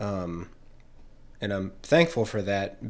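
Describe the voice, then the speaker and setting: A man with an ordinary speaking voice talks at a fairly slow pace, his pitch fairly low and its variation ordinary. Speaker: podcast co-host. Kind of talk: casual banter. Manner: self-deprecating, joking.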